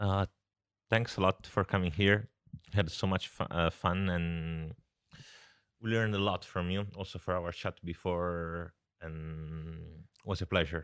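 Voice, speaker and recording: A man with a Southern Italian accent speaks at a very deep, low pitch with fairly even intonation, at a fairly slow pace with long, frequent pauses. The recording is very clean with a silent background, dry and close with no echo. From southern Italy. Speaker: podcast co-host. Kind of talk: casual chat.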